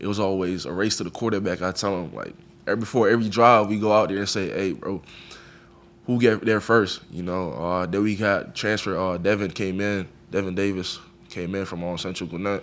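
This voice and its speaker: There's audible room echo as a man talks at a fairly quick pace. His pitch is fairly low and his intonation fairly even. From Jamaica, Kingston. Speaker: college football player. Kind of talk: press conference interview. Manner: casual, conversational.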